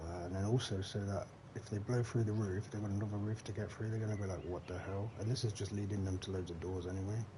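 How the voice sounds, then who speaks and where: A man with a Leicestershire accent talks very fast at a fairly low pitch, with hardly any pauses. His intonation is monotone and flat. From English Midlands, Leicestershire. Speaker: gaming streamer. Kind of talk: live gameplay stream chat. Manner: casual, chatty.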